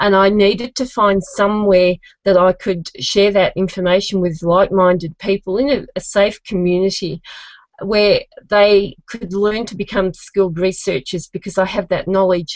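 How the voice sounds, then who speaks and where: With an Australian accent, a woman talks at a moderate pace in a medium pitch. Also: fairly even intonation. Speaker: genealogist, contest finalist. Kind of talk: contest pitch video testimony.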